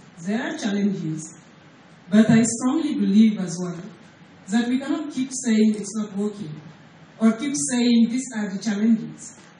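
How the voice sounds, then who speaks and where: With noticeable background noise and audible room echo, a woman speaks at a fairly high pitch. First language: not English. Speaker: payments company executive. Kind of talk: conference presentation. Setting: stage at a hotel breakfast forum. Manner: hesitant, many fillers.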